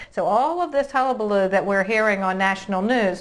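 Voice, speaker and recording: A normal speaking voice with lively intonation over a quiet background. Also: woman. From Virginia. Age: 60s. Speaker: real estate agent and interviewer. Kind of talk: casual interview chat.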